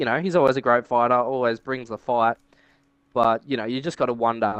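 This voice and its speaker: In a dry, close sound with no echo, a man with an Australian accent talks at a medium pitch with fairly even intonation. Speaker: podcast co-host. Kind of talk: casual chat.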